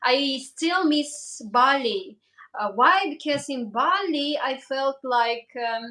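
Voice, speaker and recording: A woman speaks with a raised, projected voice in a high pitch with ordinary pitch variation. Her tone is bright and sharp, and her pace very slow. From Kazakhstan. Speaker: travel vlogger. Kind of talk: livestream interview. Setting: livestream. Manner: halting.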